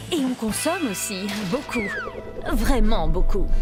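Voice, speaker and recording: A woman speaks in a playful tone at a moderate pace. Music plays in the background. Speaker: voice-over actress. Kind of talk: playful educational web-series narration. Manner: lively, playful, humorous.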